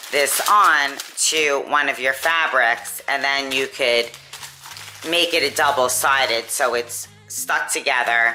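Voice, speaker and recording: Speaking very slowly, a woman uses a very deep, low pitch with ordinary pitch variation while noticeable background noise runs behind her. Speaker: sewing YouTuber and nursing home dietitian. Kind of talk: tutorial.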